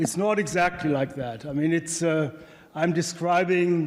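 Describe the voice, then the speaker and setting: Speaking with a German accent at a high pitch, a man talks at a fairly slow pace with fairly even intonation. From Germany. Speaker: economics professor. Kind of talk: conference presentation. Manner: hesitant, many fillers.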